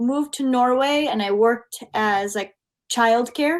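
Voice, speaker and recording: A woman speaks with an American accent at a high pitch. Her pitch varies in an ordinary way. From US Midwest, Minnesota. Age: 20s. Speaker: English teacher. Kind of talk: online English lesson.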